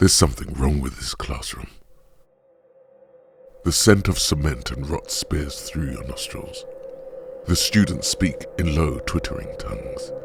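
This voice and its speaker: Over music in the background, a man speaks at a fairly slow pace with long, frequent pauses and big swings in loudness. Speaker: narrator. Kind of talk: horror story narration.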